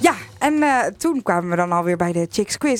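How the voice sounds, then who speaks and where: Music in the background behind a woman talking at a fairly quick pace. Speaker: radio host. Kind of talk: radio show hosting.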